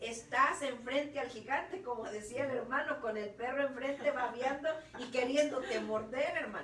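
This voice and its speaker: A high-pitched woman's voice with audible room echo and noticeable background noise. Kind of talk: preaching talk. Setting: online radio broadcast.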